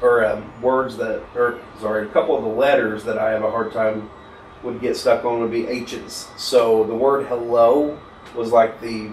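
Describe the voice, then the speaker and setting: A man talks at a moderate pace, with audible room echo. Light background noise runs underneath. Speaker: podcast guest. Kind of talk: interview answer. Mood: relaxed, open, good-humored. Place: studio.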